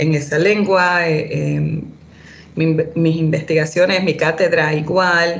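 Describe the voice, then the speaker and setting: A woman's fairly low voice for a woman comes out monotone, with flat intonation. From Puerto Rico, raised in Boston. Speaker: academic author. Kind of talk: interview conversation. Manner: halting, many fillers.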